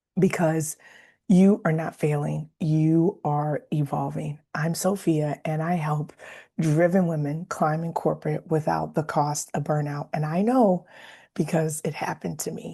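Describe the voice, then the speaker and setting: Over a quiet background, a woman speaks at a fairly slow pace in a very deep, low, somewhat breathy voice with a dark, mellow tone. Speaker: leadership coach. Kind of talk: motivational talk to camera. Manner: conversational, animated.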